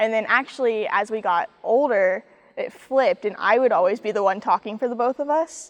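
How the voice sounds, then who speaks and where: With a plain, everyday voice, a woman with an American accent speaks at a fairly quick pace and fairly high pitch, showing ordinary pitch variation in a dry, close sound with no echo. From US Midwest, Kansas City area. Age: 20s. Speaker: college athlete, golfer. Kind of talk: interview.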